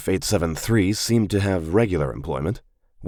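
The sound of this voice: The voice heard here is an unforced reading voice, and its pitch rises and falls in an ordinary way.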